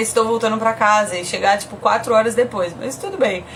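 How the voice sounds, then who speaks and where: Over noticeable background noise, a woman with a São Paulo accent speaks at a fairly high pitch. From Brazil, São Paulo. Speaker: podcast host, mother. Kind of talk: casual chat, live stream. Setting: Instagram live video stream.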